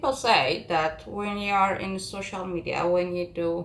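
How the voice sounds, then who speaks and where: A woman with a non-native accent speaks at a fairly low pitch with lively intonation, over noticeable background noise and audible room echo. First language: not English. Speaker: makeup content creator. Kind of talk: tutorial. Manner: calm, not hype; halting.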